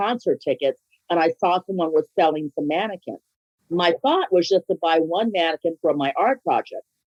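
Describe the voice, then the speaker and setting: A woman's fairly low voice, a plain, everyday voice, at a moderate pace with ordinary pitch variation, in a dry, close sound with no echo. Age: 60s. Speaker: business owner. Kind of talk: interview.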